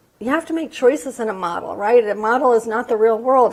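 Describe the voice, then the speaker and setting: A woman talks at a high pitch with ordinary pitch variation. Noticeable background noise runs behind her. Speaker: science education researcher. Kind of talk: lecture. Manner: hesitant, many fillers.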